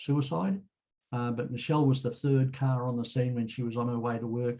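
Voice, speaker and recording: A man's dark, mellow, somewhat breathy voice at medium pitch, with fairly even intonation and a fairly quick pace. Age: 70s. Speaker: author and road safety speaker. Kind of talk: casual group chat, personal update.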